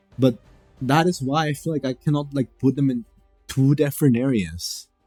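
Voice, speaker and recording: The speaker moves at a fairly slow pace while music runs in the background. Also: man. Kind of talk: casual gaming commentary.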